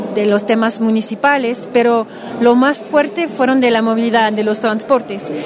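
A woman speaks in a high pitch with ordinary pitch variation. Background noise is noticeable. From Quebec (Montreal). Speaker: city councillor. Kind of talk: interview. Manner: halting.

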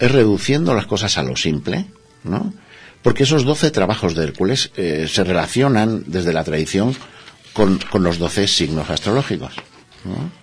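Over noticeable background noise, a fairly low-pitched man talks at a moderate pace with very wide pitch swings. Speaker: alchemy therapist. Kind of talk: interview.

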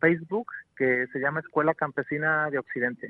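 This man has a normal speaking voice pitched fairly high. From rural western Mexico. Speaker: organic farmer and rural educator. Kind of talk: radio interview.

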